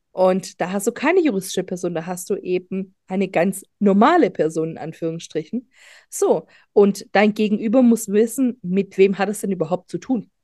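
Against a quiet background, a woman speaks at a moderate pace and medium pitch, her tone dark and mellow, with ordinary pitch variation. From Germany, grew up from age four, Greek-born. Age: 40s. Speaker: business lawyer and data protection officer. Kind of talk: podcast interview.

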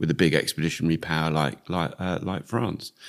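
A very deep, low-pitched man with a British accent talks at a fairly quick pace. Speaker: retired air force officer. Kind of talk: interview.

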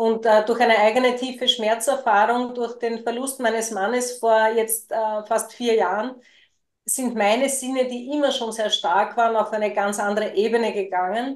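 A plain, everyday voice at a moderate pace, fairly even intonation, and a quiet background. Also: woman, fairly high pitch for a woman. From Lower Austria. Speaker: podcast co-host and spiritual coach. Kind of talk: personal storytelling in casual chat.

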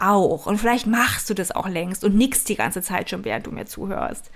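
Animated and enthusiastic, a woman talks at a medium pitch. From East Germany. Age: 40s. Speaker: life and business coach, podcast host. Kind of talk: motivational solo podcast monologue. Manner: animated, enthusiastic, laughs often.

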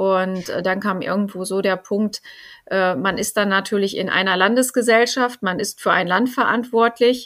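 Her pitch is medium and shifts in an ordinary way. The woman keeps a moderate pace. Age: 40s. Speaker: finance executive. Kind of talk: interview. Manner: hesitant with frequent fillers.

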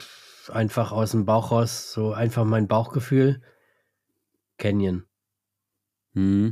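A man speaks at medium pitch with a dark, mellow tone. There are long, frequent pauses and big swings in loudness. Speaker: mountain bike podcast host. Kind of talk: casual chat. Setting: remote call recording.

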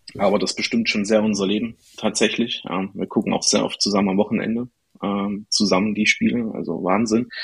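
A man talks at a fairly quick pace with a fairly low voice. His intonation stays flat and monotone. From Thuringia, Erfurt. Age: 20s. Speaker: football meme page creator. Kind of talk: casual chat.

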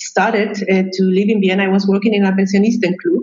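Over music in the background, a woman with a Chilean accent speaks at a medium pitch in a warm tone with monotone, flat intonation. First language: Spanish. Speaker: psychologist and expat coach. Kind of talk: casual interview. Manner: halting; warm, laughs often.

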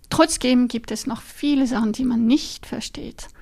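This woman speaks with a French accent. Her pitch is high. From French-speaking Switzerland, Lausanne. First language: French (speaking German). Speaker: neuroscientist. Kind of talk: interview. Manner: halting, frequent fillers.

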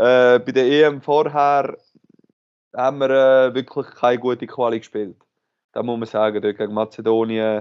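A man at a medium pitch and moderate pace, fairly even intonation, long and frequent pauses throughout. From Switzerland, Aargau (Aarau). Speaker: professional handball player. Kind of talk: interview.

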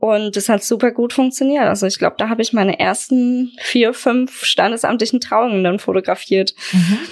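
A woman's fairly high voice at a moderate pace, with fairly even intonation and very even loudness, amid noticeable background noise. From Germany, Aschaffenburg (Lower Franconia). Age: 20s. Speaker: wedding photographer. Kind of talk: casual interview.

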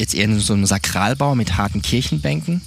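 Lively intonation over noticeable background noise. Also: man. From southern Germany, South Baden. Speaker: church planter. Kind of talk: interview testimony.

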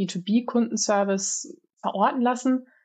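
A woman talks at a moderate pace, somewhat breathy. Her intonation stays fairly even. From Germany, Aachen. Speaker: research scientist. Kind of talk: podcast interview.

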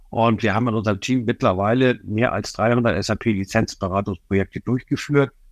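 Here a man talks at a moderate pace in a fairly low voice with fairly even intonation. The sound is dry and close with no echo, against a quiet background. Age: 60s. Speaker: SAP licensing consultant. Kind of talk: interview. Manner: hesitant fillers.

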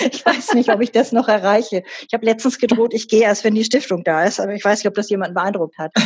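Very fast and fairly high-pitched, a woman speaks with ordinary pitch variation. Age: 60s. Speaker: company board member and professor. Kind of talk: interview.

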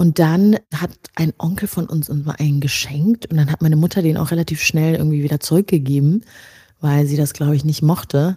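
This voice is somewhat breathy, with a dark, mellow tone. It moves at a moderate pace in a dry, close sound with no echo. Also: woman. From Rwanda, moved to Germany at ten. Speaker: editor, podcaster and writer. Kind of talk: casual chat.

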